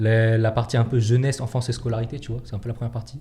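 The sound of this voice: Fast and dark-toned, a man's voice comes through mellow. His pitch barely moves. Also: medium pitch for a man.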